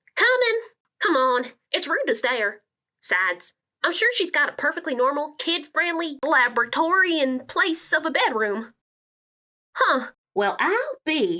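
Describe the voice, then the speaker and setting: A cartoonish character voice, high in pitch with very wide pitch swings, at a moderate pace with long, frequent pauses. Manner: joking, playful.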